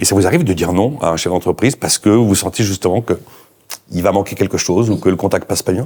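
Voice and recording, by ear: A man's low voice at a fast pace, slightly mellow in tone with a slightly husky edge and ordinary pitch variation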